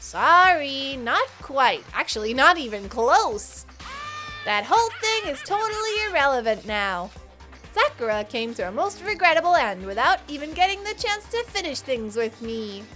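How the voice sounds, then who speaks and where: A woman's put-on character voice, high-pitched with very wide pitch swings, at a moderate pace over clear background music. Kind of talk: game dramatic reading. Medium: actual play. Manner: mocking, playful.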